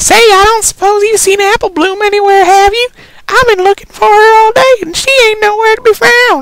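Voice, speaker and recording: Squeaky and extremely high-pitched, a put-on character voice. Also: moderate pace. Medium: read story. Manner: folksy, homespun.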